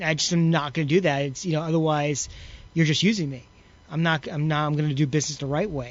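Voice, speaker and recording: Speaking at a very fast pace, a man uses an American accent. His pitch is fairly high and his intonation fairly even. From New York. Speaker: wrestling promoter and former wrestler. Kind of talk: interview. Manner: halting.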